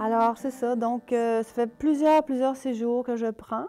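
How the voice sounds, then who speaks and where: On a very clean recording with a silent background, a woman speaks at a fairly high pitch in a dark, mellow tone with ordinary pitch variation. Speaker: painter. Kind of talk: interview testimony. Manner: animated.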